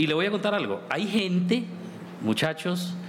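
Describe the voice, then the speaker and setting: A man with a llanero Colombian accent at a fairly slow pace, with ordinary pitch variation and noticeable background noise. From Colombia, Casanare (Llanos). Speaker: folk singer. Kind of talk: panel discussion.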